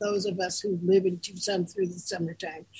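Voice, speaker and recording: A somewhat breathy woman's voice. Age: 80s+. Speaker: co-host, groomer and mentor. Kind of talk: casual chat.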